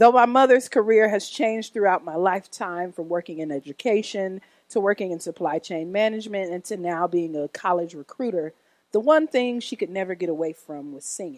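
A woman with an American accent and a normal speaking voice talks fairly quickly at a medium pitch, her intonation lively and her loudness swinging widely, in a dry, close recording with no echo and a quiet background. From US Midwest, Oak Park near Chicago. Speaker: church worship director and singer. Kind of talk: testimony. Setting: church.

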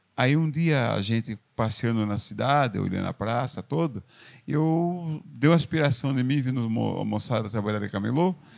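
On a very clean recording with a silent background, a man with an unremarkable speaking voice talks at a moderate pace and medium pitch with ordinary pitch variation. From Brazil, São Paulo state countryside (Porto Feliz). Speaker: street vendor. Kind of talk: interview.

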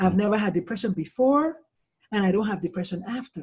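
Somewhat breathy, a woman talks at a medium pitch. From Nigeria. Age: 50s. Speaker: pediatrician and suicide-prevention speaker. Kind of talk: interview.

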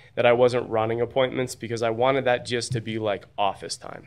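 There is an unremarkable speaking voice at a fairly quick pace over a quiet background. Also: man. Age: 30s. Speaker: insurance agent and agency builder. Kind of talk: casual interview.

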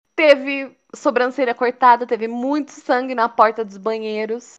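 Against a quiet background, a woman with a normal speaking voice talks at a fairly slow pace and fairly high pitch, with ordinary pitch variation. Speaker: podcast co-host. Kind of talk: casual chat.

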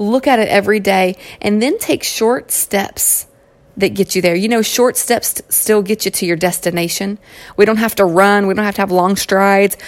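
A woman's medium-pitched voice in a Southern US accent at a moderate pace. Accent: southern twang. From Kentucky. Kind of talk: solo inspirational podcast monologue. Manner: animated.

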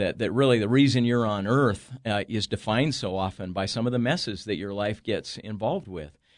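A man with an American accent talks at a fairly quick pace with hardly any pauses, in a plain, everyday voice. His pitch is fairly low with ordinary variation, and the background is quiet. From Northern California. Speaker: author and entrepreneur. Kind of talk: casual interview. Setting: studio.

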